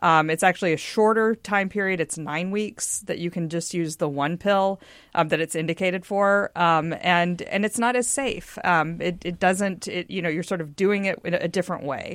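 With an American accent, a woman talks at a moderate pace in an unremarkable speaking voice, fairly low in pitch with ordinary pitch variation and hardly any pauses, on a very clean recording with a silent background. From US South (Texas, earlier Mississippi). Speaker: news site co-founder and publisher, political journalist. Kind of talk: radio panel discussion.

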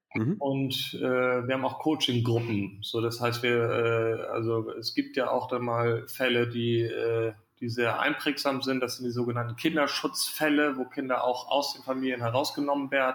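A flat, monotone delivery at a moderate pace, with noticeable background noise behind it. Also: man, medium pitch for a man. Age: 30s. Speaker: founder and managing director of a youth welfare nonprofit.

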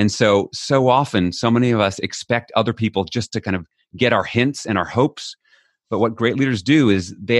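A man with an American accent has an ordinary speaking voice, with a medium pitch and ordinary pitch variation. The sound is dry and close, without echo. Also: quiet background. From United States. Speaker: author on leadership. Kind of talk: interview.

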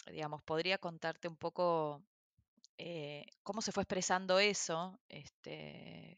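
At a very slow pace, a woman with a fairly low pitch and fairly even intonation talks with big swings in loudness. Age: 40s. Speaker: social entrepreneur and activist. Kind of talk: interview conversation. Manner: halting, many fillers.

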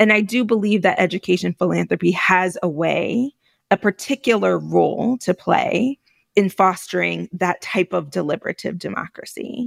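A woman speaks at a moderate pace, close and dry with no echo. The recording is very clean, with a silent background. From New York, Puerto Rican family. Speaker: executive director of an education philanthropy network. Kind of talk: interview conversation.

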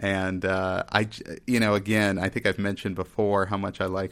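Over a very clean recording with a silent background, a man with an American accent speaks at a moderate pace in a fairly low, monotone, flat voice. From Texas. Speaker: podcast host. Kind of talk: casual chat.

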